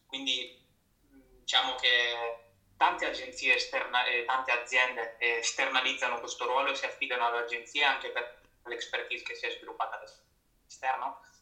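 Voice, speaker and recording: The voice moves at a moderate pace, with audible room echo. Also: man. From Italy, Rimini (Emilia-Romagna). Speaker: marketing manager. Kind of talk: live interview. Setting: Instagram live stream.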